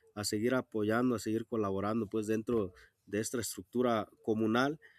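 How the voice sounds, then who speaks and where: A man with a western Mexican accent speaks at a medium pitch and a moderate pace, his intonation monotone and flat. The sound is dry and close, with no echo. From Jalisco sierra, Mexico (Wixárika community). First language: Wixárika (speaking Spanish). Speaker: rural teacher. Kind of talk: interview. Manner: halting, many fillers.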